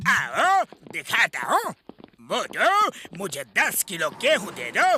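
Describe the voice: Doing a cartoonish character voice, a man speaks slowly at a high pitch with very wide pitch swings, a bright, sharp tone and a slightly husky edge.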